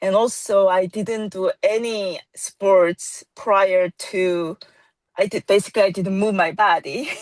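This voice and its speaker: With a dry, close sound and no echo, a woman speaks at a fairly slow pace using fairly even intonation. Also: medium pitch for a woman. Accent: Korean. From South Korea. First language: Korean. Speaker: yoga teacher. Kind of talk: casual interview. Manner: hesitant, many fillers.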